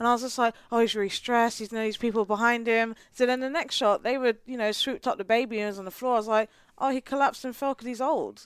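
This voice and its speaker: A woman with a British accent, very fast with hardly any pauses, fairly high in pitch with fairly even intonation, in a dry, close sound with no echo. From England. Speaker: marketing professional, podcast guest. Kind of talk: casual chat.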